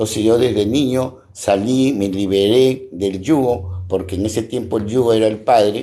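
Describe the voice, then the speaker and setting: A man's dark, mellow tone, fairly low in pitch, at a fairly slow pace with fairly even intonation and hardly any pauses. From Peru, Piura. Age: 60s. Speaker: local activist and barber. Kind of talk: interview. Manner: repetitive, halting.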